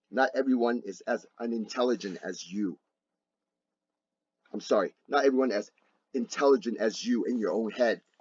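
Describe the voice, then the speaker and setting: A man speaks at a moderate pace with long, frequent pauses. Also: medium pitch for a man, ordinary pitch variation. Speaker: video blogger. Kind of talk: rebuttal monologue.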